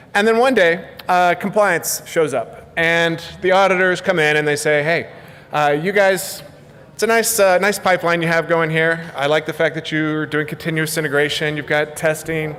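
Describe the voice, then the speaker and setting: A fairly high-pitched man at a moderate pace with ordinary pitch variation, over noticeable background noise. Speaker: conference speaker, software developer. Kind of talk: conference talk. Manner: casual, many fillers and repetitions.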